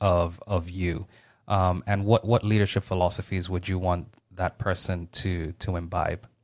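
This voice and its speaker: In a very clean recording with a silent background, a man talks at a fairly slow pace in a normal speaking voice. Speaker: podcast host. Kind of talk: interview.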